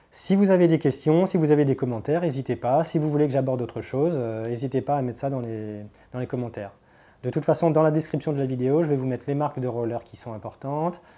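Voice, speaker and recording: A man's dark, mellow tone at a very fast pace. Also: fairly high pitch for a man, ordinary pitch variation. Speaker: inline slalom skating instructor. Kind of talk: tutorial. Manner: hesitant fillers.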